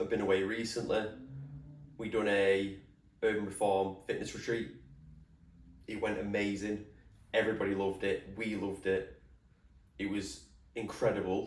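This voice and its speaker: Somewhat breathy, monotone delivery with flat intonation at a moderate pace, marked by long, frequent pauses. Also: man, fairly low pitch for a man. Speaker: podcast host, personal trainer. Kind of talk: casual solo podcast talk.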